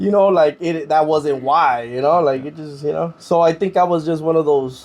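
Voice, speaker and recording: This man has an unremarkable speaking voice, pitched fairly high. He moves at a moderate pace with ordinary pitch variation. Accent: American. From Watts, Los Angeles. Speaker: former prisoner turned tire shop owner. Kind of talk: casual interview conversation.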